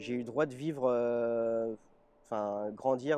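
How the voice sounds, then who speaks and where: A man's medium-pitched voice with a dark, mellow tone and fairly even intonation, dry and close with no echo. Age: 20s. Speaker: interviewee, double lung transplant patient with cystic fibrosis. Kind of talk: personal testimony interview. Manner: hesitant, frequent filler 'euh'.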